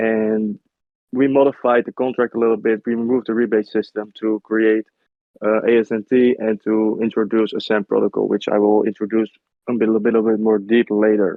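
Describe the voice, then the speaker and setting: Talking at a fairly quick pace, a man keeps a flat, monotone delivery in a fairly low pitch. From Netherlands. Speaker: crypto project marketing manager. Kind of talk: interview Q&A. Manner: halting.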